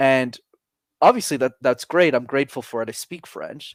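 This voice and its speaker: A man with a Montreal accent talks at a fairly quick pace and fairly high pitch, with ordinary pitch variation. The recording is very clean and silent in the background, with a dry, close sound and no echo. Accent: Canadian English (Montreal). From Montreal, Quebec. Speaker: public speaking coach. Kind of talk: interview conversation.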